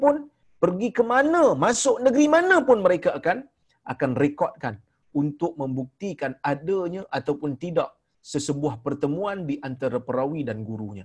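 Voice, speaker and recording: A man with a Malaysian accent speaks at a moderate pace. His fairly high pitch moves in very wide swings. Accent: Malaysian Malay. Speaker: religious teacher. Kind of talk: lecture. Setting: online video call.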